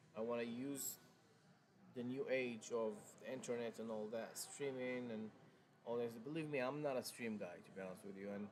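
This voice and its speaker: With a strong non-native accent, a man speaks at medium pitch and a moderate pace with fairly even intonation, amid noticeable background noise and audible room echo. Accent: thick foreign. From Morocco. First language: Arabic. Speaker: car salesman. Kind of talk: live stream sales talk. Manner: hesitant, many fillers and restarts.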